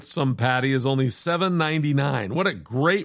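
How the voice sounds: Ordinary pitch variation within a natural reading voice.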